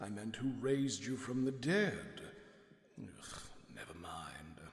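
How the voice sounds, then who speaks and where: A put-on character voice at a low-to-middle pitch moves at a fairly slow pace, with clear echo around it. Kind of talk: camp aristocratic villain. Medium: video game. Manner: pompous, theatrical.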